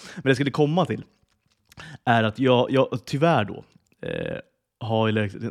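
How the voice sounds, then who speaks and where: A man at a medium pitch and fairly slow pace, recorded very cleanly against a silent background, with a dry, close sound and no echo. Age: 30s. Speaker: podcast co-host. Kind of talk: casual chat.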